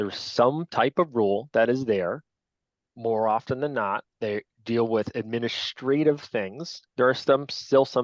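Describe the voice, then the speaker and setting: Against a quiet background, a man with a Long Island accent speaks fairly slowly at a medium pitch, the sound dry and close with no echo. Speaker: lacrosse officials trainer. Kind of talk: training lecture. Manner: casual, conversational.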